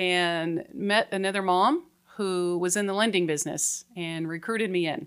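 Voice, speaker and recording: An unremarkable speaking voice, a woman with an American accent talks at a fairly slow pace and a fairly low pitch with fairly even intonation in a very clean recording with a silent background. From Colorado. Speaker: mortgage loan officer. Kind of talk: casual interview. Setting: studio.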